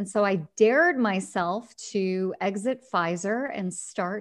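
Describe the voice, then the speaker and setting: In a plain, everyday voice, a woman speaks at medium pitch with lively intonation against a quiet background. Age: 40s. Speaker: HR consultant and author. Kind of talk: interview.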